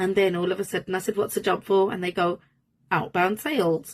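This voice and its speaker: Fairly quick speech from a woman, medium in pitch. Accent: Birmingham. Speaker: manifestation coach. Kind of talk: personal storytelling monologue. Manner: casual, filler-heavy.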